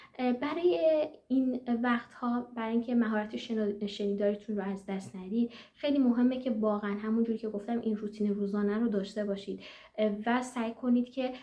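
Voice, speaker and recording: Fairly quick, fairly even speech with noticeable background noise. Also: woman. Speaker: German language teacher and exam consultant. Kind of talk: tutorial. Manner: hesitant, frequent fillers.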